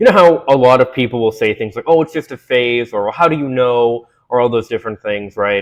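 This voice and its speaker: Over a quiet background, a man with a normal speaking voice and medium pitch talks at a fairly quick pace with lively intonation. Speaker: video essayist. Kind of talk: monologue to camera. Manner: conversational, many fillers.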